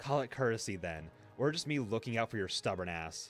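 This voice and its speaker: A man does a put-on character voice with growling, at a medium pitch and a fairly quick pace. His intonation is lively, and music plays in the background. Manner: gruff, tough.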